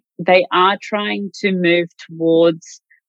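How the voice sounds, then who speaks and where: A woman with an Australian accent speaks in a fairly low pitch. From country Victoria, Australia (Wodonga). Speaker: mortgage broker. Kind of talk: interview.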